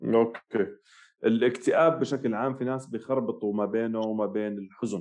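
With a plain, everyday voice, a man talks at a moderate pace and a medium pitch, with ordinary pitch variation against a quiet background. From Jordan. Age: 30s. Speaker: psychiatrist. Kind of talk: interview.

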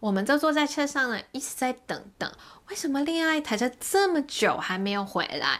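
Speaking with a Hong Kong accent, a woman talks at a moderate pace. Her pitch is high and her intonation lively. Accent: Hong Kong accented Mandarin. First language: Cantonese (speaking Chinese). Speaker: podcast host. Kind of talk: casual chat.

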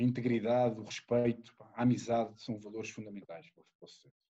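A man with a European Portuguese accent speaks at a moderate pace in a medium pitch. His tone is dark and mellow, and his intonation fairly even. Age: 40s. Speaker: rugby player. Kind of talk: casual interview.

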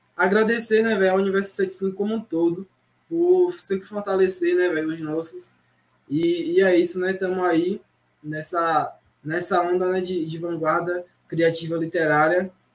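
At a fairly slow pace, a man talks in a high pitch with monotone, flat intonation. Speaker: poet and short story writer. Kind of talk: casual chat.

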